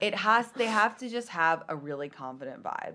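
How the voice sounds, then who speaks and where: Her pitch rises and falls very widely. This woman talks in an American accent. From London. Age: 30s. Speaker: TikToker and comedian. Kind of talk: casual podcast interview. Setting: studio.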